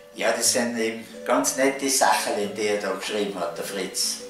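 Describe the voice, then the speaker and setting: Speaking at a very slow pace with a Tyrolean accent, a man is heard with audible room echo and clear music in the background. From Tyrol, Austria. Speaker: reader of dialect texts. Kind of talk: casual talk to camera. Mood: calm, friendly. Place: home room.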